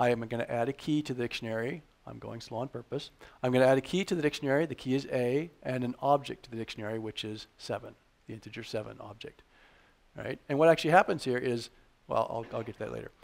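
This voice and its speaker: Very fast speech from a man, pitched in the middle range. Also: ordinary pitch variation. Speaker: programming tutorial instructor. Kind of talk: tutorial.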